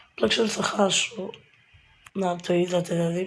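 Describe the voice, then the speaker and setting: Over noticeable background noise, a woman talks at a moderate pace in a fairly low voice. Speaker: gaming youtuber. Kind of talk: gameplay commentary.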